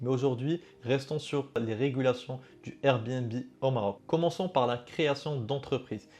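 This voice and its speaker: Against a quiet background, a man with a dark, mellow tone and fairly high pitch talks at a fairly slow pace with ordinary pitch variation. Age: 20s. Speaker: Airbnb concierge business owner. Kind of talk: educational vlog monologue. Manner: casual, conversational with fillers.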